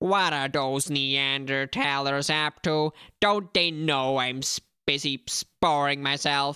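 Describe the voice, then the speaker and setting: A put-on character voice, nasal and low-to-middle in pitch, moves at a fairly slow pace over a very clean recording with a silent background. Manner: grumpy.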